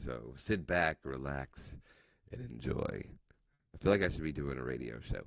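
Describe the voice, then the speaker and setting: This man speaks at a moderate pace. His voice carries vocal fry. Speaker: live show host. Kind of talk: show intro.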